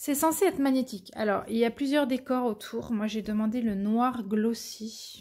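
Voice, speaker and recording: A woman speaks very slowly in a dark, mellow tone, somewhat breathy and fairly high in pitch. The recording is very clean with a silent background. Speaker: diamond painting content creator. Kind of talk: unboxing video, casual chat. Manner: stammering, hesitant.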